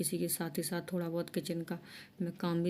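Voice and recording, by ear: Her voice is fairly low with a dark, mellow tone as the woman speaks at a moderate pace.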